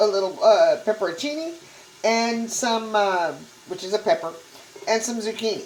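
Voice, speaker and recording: A woman's fairly high voice with lively intonation, an American accent and a moderate pace. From Texas. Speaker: cooking channel host. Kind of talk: cooking tutorial. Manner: casual, conversational.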